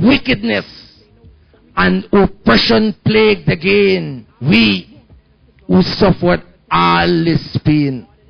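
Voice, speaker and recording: Music in the background behind a man speaking at a very slow pace. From Guyana. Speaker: spoken word poet. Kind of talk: spoken word poetry performance. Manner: fiery. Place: cafe. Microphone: handheld.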